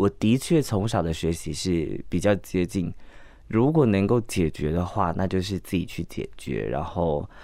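At a fairly slow pace, a man with a very deep, low pitch and a dark, mellow tone talks with lively intonation on a very clean recording with a silent background. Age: 30s. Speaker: drag queen performer. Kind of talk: interview.

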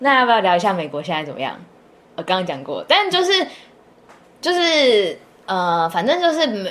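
With long, frequent pauses, a woman speaks at a moderate pace in a fairly high pitch that swings very widely. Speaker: podcast co-host, student abroad. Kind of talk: casual chat.

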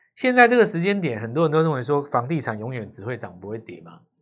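This is a plain, everyday voice with lively intonation at a fairly quick pace. The recording is very clean with a silent background. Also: man. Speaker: stock market analyst. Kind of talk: casual chat.

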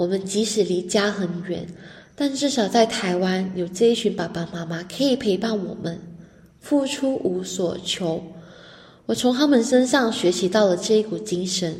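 Audible room echo around a woman speaking at a fairly slow pace. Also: medium pitch for a woman, ordinary pitch variation. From Malaysia. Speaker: university student. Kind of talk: radio interview.

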